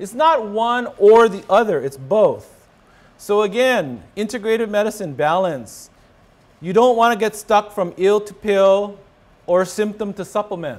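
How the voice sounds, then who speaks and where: Speaking at a fairly slow pace, a man with a high voice shows ordinary pitch variation and big swings in loudness. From Hawaii. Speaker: rheumatologist; presenter. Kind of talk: lecture. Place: hall. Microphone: podium.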